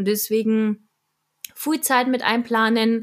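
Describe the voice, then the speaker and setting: The voice belongs to a woman. She goes along at a very slow pace. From Munich, Bavaria. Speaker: radio journalist and social media creator. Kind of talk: casual interview.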